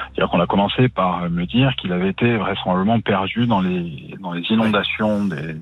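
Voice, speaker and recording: Noticeable background noise accompanies a man speaking at a fairly quick clip. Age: 40s. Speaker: journalist and author. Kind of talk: interview.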